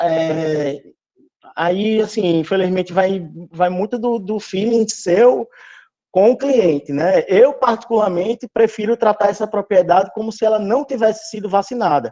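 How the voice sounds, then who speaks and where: A man with a high pitch and ordinary pitch variation speaks in a dark, mellow tone at a fairly slow pace. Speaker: veterinary lecturer. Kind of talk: online lecture. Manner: halting.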